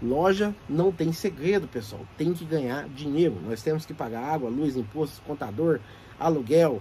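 With lively intonation and a somewhat breathy sound, a man speaks at a moderate pace, fairly high in pitch for a man. Light background noise can be heard. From Brazil. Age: 40s. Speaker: shop owner and YouTuber giving business tips; YouTuber giving business tips. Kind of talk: casual tutorial to camera. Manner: animated. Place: shop. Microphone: phone near.

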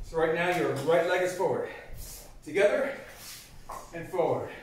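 With audible room echo and light background noise, a man speaks in a high pitch at a moderate pace, his pitch varying in an ordinary way. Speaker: karate instructor. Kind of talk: tutorial. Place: home room.

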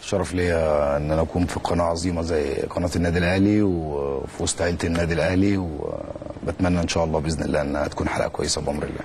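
With a very deep, low voice, a man talks at a fairly quick pace with hardly any pauses over light background noise. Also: fairly even intonation. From Egypt. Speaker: former footballer and youth coach. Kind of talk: interview. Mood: polite, grateful greeting. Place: studio. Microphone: lapel.

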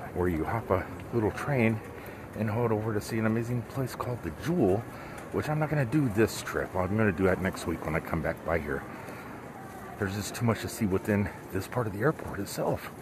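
The voice moves at a fairly quick pace with a dry sound and no echo. Background noise is noticeable. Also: man, fairly low pitch for a man. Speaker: solo traveler vlogger. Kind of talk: casual vlog chat. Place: hall. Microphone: headset.

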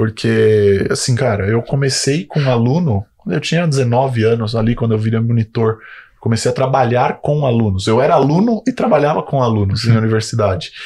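A man with a São Paulo accent, dark, mellow tone, somewhat breathy voice and medium pitch, at a moderate pace with ordinary pitch variation and very even loudness. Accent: Brazilian Portuguese, São Paulo. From Brazil, São Bernardo do Campo (São Paulo area); São Paulo, Brazil. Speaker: physiotherapist and clinic owner; podcast guest. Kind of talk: casual interview. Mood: relaxed, storytelling. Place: studio. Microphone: studio mic.

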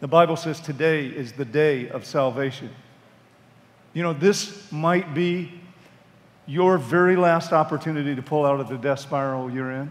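At a moderate pace with long, frequent pauses, a man talks at a fairly high pitch with ordinary pitch variation. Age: 60s. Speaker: pastor. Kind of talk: sermon. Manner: halting. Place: hall. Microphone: headset.

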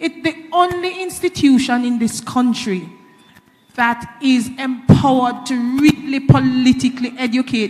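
This woman's voice sits high in pitch. She talks at a fairly slow pace. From Jamaica. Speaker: reform committee member; panel member. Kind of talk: panel discussion. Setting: hall with live audience. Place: hall. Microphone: handheld.

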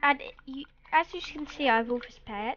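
Very slow, high-pitched speech from a woman. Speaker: gaming video creator. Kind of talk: gameplay commentary. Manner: hesitant, many 'um' fillers; put-on voice tone.

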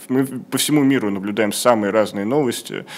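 Moderate pace, with ordinary pitch variation. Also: man. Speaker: show host; program host. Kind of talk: interview. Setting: studio. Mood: calm, thoughtful. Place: studio. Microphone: studio mic.

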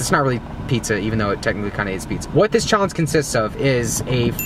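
Speaking at a very fast pace, a man comes through with a dry sound with no echo and noticeable background noise. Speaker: food challenge vlogger. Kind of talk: casual vlog chat. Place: car. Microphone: phone near.

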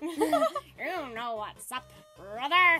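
Over faint background music, a high-pitched, put-on character voice comes through. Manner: menacing, theatrical.

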